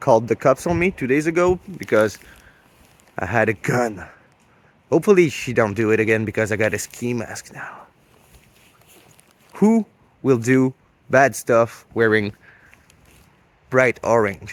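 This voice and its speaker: A man talks at a medium pitch with lively intonation. His pace is fairly slow, broken by long, frequent pauses. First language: French. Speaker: hunting vlogger. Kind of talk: outdoor hunting vlog. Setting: outdoors in cold snowy woods.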